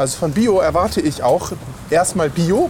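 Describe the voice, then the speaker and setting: A man with a fairly high pitch speaks with lively intonation over noticeable background noise. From Lüneburg, northern Germany. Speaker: podcast co-host and teacher. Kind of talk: casual chat. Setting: café and walking around a market hall.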